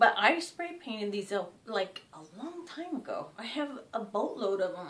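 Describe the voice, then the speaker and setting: The voice has a bright, sharp tone and very wide pitch swings. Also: woman. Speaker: DIY crafts creator. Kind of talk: tutorial. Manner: casual, hesitant with fillers.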